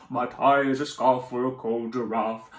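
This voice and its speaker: Using a put-on character voice, a man speaks at a medium pitch and moderate pace with monotone, flat intonation. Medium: read story. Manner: cheerful, warm.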